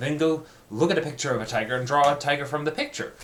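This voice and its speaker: Background noise is noticeable here. The man speaks fairly quickly. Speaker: art student video diarist. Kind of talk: personal video diary monologue. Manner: speeds up and gets more animated.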